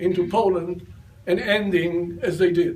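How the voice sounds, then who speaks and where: A man keeps a moderate pace amid audible room echo and noticeable background noise. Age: 80s+. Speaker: retired army general. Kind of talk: talk answering audience questions.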